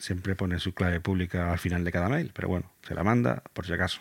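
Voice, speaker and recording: A man's very deep, low voice at a moderate pace, on a very clean recording with a silent background. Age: 40s. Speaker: podcast host. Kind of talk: educational explainer. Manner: halting, with repetitions.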